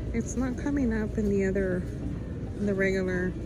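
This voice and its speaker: Noticeable background noise sits under a woman talking at a moderate pace. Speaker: shopping vlogger. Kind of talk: casual vlog chat. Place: shop. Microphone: phone near.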